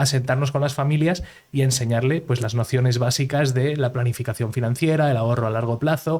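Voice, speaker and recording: A man's medium-pitched voice in a Madrid accent, fairly quick, with ordinary pitch variation. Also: very clean recording, silent background. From Madrid, Spain (raised partly in Miami, USA from 9 to 24). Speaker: entrepreneur, founder of a real estate crowdfunding platform. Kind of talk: podcast interview. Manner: many fillers and repetitions.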